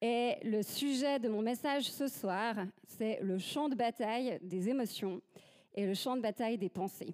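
The delivery is fairly slow, with ordinary pitch variation. Loudness stays very even throughout. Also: woman, fairly high pitch for a woman. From Switzerland. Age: 30s. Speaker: church ministry leader, guest preacher. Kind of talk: sermon.

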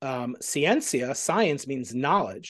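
Delivered at a fairly slow pace, an ordinary speaking voice carries an American accent. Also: man, quiet background. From Long Island, New York, US. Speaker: physics professor. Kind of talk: interview conversation.

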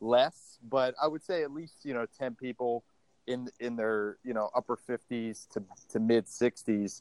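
A man with an American accent has an ordinary speaking voice, a medium pitch and ordinary pitch variation, speaking at a fairly slow pace in a dry, close sound with no echo. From Baltimore, Maryland. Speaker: gym owner and fitness trainer. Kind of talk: casual interview chat.

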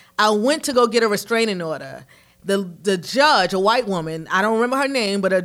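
A woman with a New York accent speaks at a fairly quick pace on a very clean recording with a silent background. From New York, Harlem. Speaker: marketing director and PR agency owner. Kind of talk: casual chat.

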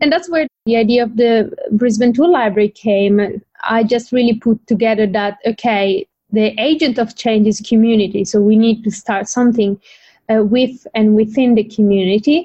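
Somewhat breathy and at a fairly high pitch, a woman's voice holds a very even loudness. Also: ordinary pitch variation, moderate pace. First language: not English. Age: 20s. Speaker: environmental economist and PhD researcher, tool library founder. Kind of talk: interview.

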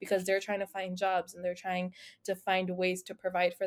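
A woman talks at a fairly quick pace in a medium pitch. The sound is dry and close, with no echo. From US, raised from age six (born India). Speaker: podcast co-host. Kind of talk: casual panel discussion.

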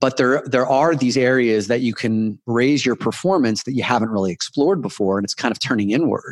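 A man with a normal speaking voice talks at a medium pitch and a fairly quick pace with ordinary pitch variation, the sound dry and close with no echo against a quiet background. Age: 40s. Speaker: men's coach. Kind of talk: interview.

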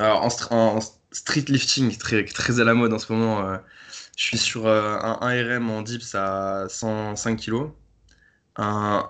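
A man's medium-pitched voice, very slow and monotone, with flat intonation. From Paris, France. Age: 20s. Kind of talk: podcast interview.

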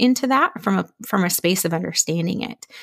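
A normal speaking voice from a woman at a medium pitch, lively intonation and a moderate pace, on a very clean recording with a silent background. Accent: American. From Minnesota. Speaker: friendship coach and podcaster. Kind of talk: podcast interview.

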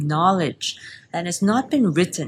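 A woman with a fairly low pitch speaks in a somewhat breathy way, her pitch varying in an ordinary way. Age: 30s. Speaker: pastry chef and business owner. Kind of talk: interview.

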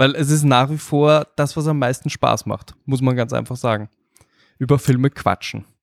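A man with an unremarkable speaking voice talks at medium pitch and a moderate pace, his intonation fairly even and the sound dry and close with no echo. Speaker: film podcaster. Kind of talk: casual chat.

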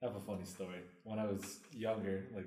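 With audible room echo around him, a man speaks at a moderate pace in a dark, mellow tone, his fairly low pitch held in a monotone, flat intonation. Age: 30s. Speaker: podcast co-host. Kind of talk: casual chat.

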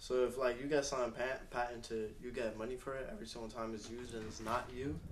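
Amid noticeable background noise, a man speaks at a very fast pace with fairly even intonation and hardly any pauses. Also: medium pitch for a man. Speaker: podcast co-host. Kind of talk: casual chat.

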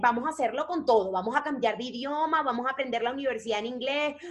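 A woman speaks at a very fast clip in a high voice. Her intonation is lively. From Venezuela, Maracaibo. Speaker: actress and singer. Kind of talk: casual interview.

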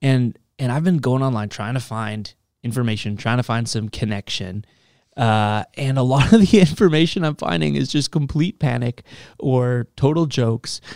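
A man with an ordinary speaking voice talks at a medium pitch and a moderate pace with lively intonation, in a dry, close sound with no echo on a very clean recording with a silent background. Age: 20s. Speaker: youth pastor. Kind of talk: casual podcast chat.

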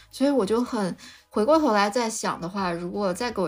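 A woman talks in an ordinary speaking voice. Her pitch varies in an ordinary way. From Lanzhou, northwest China. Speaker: molecular biology PhD, biotech researcher. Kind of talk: casual interview chat. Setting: remote online recording.

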